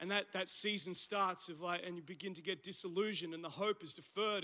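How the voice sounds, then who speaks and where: A man speaks in a raised, projected voice with an Australian accent. His tone is bright and sharp. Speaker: pastor. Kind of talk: sermon. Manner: animated.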